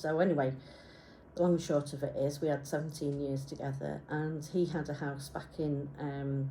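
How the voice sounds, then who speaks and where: Somewhat breathy, dark, mellow tone from a woman with a very deep, low pitch and fairly even intonation, in audible room echo. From Isle of Man, Yorkshire and Wales. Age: 50s. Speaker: graphic designer. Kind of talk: personal presentation. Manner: halting.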